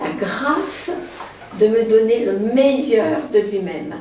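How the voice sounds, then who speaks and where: Her pitch swings very widely as the woman speaks, with audible room echo and noticeable background noise around her. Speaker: poetry speaker. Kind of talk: talk to an audience.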